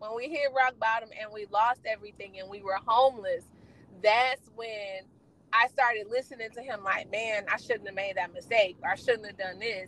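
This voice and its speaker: With an American accent, a woman speaks in a normal speaking voice at a fairly high pitch and moderate pace, her intonation fairly even but with big swings in loudness. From Gary, Indiana. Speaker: trucking school owner. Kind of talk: casual interview.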